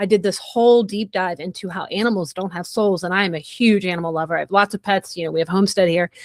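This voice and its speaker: This is an unremarkable speaking voice. The intonation stays fairly even. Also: woman. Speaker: podcast host. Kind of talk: interview conversation.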